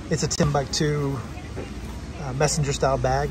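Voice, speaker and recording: At a moderate pace, the voice comes through a dry sound with no echo, against noticeable background noise. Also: man. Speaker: vlogger. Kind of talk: casual vlog chat. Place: street. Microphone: phone near.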